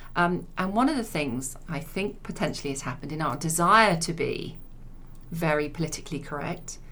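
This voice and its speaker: Bright, sharp tone from a woman with a fairly low pitch, ordinary pitch variation, a moderate pace and audible room echo. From Leicester, England. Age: 50s. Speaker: insurance executive. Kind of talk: interview. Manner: halting.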